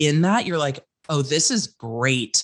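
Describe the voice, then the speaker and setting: A woman talks at a moderate pace in a very deep, low pitch. The background is quiet. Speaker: legal commentator and content creator. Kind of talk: casual chat. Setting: podcast interview. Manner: loud.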